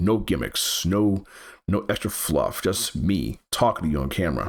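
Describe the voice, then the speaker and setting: The intonation is lively, with vocal fry throughout. The pace is moderate. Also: man. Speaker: gaming YouTuber. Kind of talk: channel update talk to camera. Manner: halting, with repetitions.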